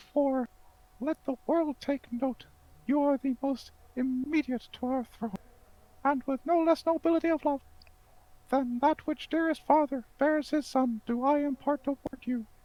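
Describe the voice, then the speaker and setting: Someone uses a high-pitched, put-on character voice at a moderate pace, with long, frequent pauses. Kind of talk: amateur Shakespeare table read. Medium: stage play. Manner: grand, declamatory.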